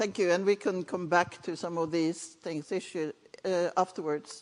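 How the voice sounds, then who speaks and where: A woman with a Norwegian accent, fairly low in pitch, at a moderate pace with fairly even intonation. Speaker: conference session chair. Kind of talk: panel moderation.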